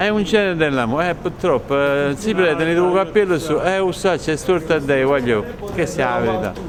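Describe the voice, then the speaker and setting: A man with a Neapolitan accent talks at a fairly quick pace, his pitch fairly high and his intonation lively. Noticeable background noise and audible room echo surround him. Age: 60s. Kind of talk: casual chat.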